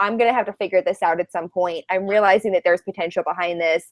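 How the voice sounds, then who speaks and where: A woman at a medium pitch, recorded dry and close with no echo. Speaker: live video show host. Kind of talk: casual chat. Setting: video call. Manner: fast.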